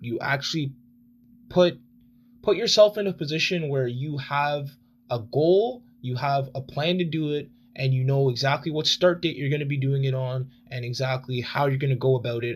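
Somewhat breathy, a man speaks at a fairly high pitch. His pace is moderate and his pitch variation ordinary. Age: 20s. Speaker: podcast host. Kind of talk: solo podcast monologue. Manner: casual, rambling.

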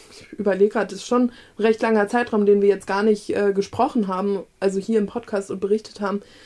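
Speaking at a fairly quick pace, a woman uses a fairly high pitch in a monotone, flat intonation. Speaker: book podcast co-host. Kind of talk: casual chat.

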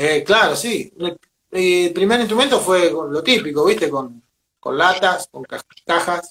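A high-pitched man at a very slow pace, with lively intonation and big swings in loudness. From Argentina, Venado Tuerto, southern Santa Fe. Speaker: drummer and percussionist. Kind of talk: interview.

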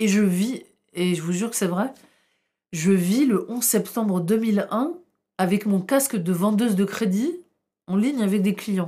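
A woman speaks at a medium pitch with ordinary variation, her tone dark and mellow and somewhat breathy. The recording is very clean, with a silent background. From northern France, Tourcoing. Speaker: historian. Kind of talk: interview.

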